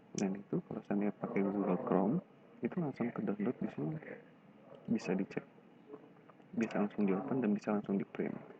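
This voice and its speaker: Here a man talks at a fairly quick pace, with a fairly low pitch and ordinary pitch variation. Long, frequent pauses break up his speech. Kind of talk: screen-recorded website tutorial. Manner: whispered.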